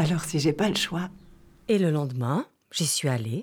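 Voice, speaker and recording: A woman's very deep, low, somewhat breathy voice with a calm tone, ordinary pitch variation and a fairly slow pace, in a dry, close sound with no echo. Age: 40s. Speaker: lawyer and author telling her near-death experience. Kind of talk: literary first-person narration of her near-death experience, with a testimony tone. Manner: slow, calm, dreamy, sensory, hushed storytelling.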